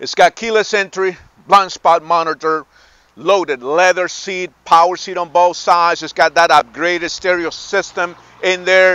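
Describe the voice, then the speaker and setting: A man talks at a high pitch in a bright, sharp tone. The sound is dry with no echo, and his intonation is monotone and flat. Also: moderate pace. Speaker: car salesman. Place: street. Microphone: phone near.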